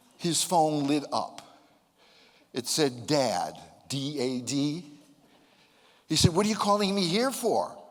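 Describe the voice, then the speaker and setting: Audible room echo surrounds the recording. A man with a fairly high pitch speaks with lively intonation. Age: 70s. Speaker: motivational speaker. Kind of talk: speech to a live audience. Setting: stage with audience.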